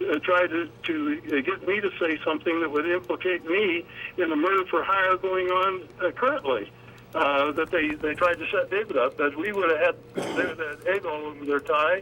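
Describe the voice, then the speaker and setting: A man speaks at a moderate pace in a high voice with ordinary pitch variation, over noticeable background noise. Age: 80s+. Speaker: author and activist. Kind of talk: talk radio interview. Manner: halting, many fillers.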